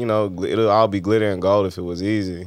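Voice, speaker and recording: A man talks at a fairly quick pace in a fairly low voice. It is an unremarkable speaking voice. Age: 30s. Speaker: podcast host. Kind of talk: casual interview chat. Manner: relaxed, conversational.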